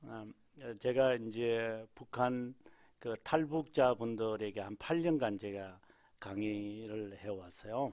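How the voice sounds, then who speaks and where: This man talks very slowly. His volume rises and falls in big swings. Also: medium pitch for a man, ordinary pitch variation. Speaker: pastor teaching church history. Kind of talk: lecture. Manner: conversational, with filler words.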